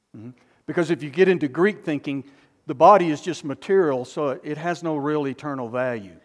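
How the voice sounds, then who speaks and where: This man has an unremarkable speaking voice with ordinary pitch variation and big swings in loudness. The background is quiet. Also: fairly high pitch for a man. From US South. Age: 60s. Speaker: pastor. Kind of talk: sermon. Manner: slow.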